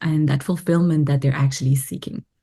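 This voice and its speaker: In a French accent, a woman speaks with fairly even intonation and a dark, mellow tone. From Belgium. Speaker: spiritual teacher and healer. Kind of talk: podcast interview.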